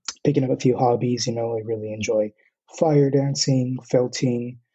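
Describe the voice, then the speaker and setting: A man talks at a moderate pace with an American accent. His voice is somewhat breathy, with ordinary pitch variation. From US West Coast, Southern California (Oxnard). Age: 20s. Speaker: university student, podcast guest. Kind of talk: casual interview conversation.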